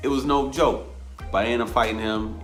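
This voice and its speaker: A man with an American accent speaks at a fairly quick pace in an animated tone, with music playing in the background. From Rochester, New York. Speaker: boxing coach, former amateur boxer. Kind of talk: interview answer. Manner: casual, animated storytelling.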